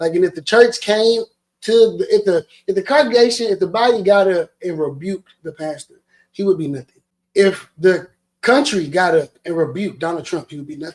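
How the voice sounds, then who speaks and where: A man with a high pitch talks at a fairly quick pace, his intonation lively and his loudness swinging widely. The sound is dry and close, with no echo. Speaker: podcast host. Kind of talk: casual chat. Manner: animated.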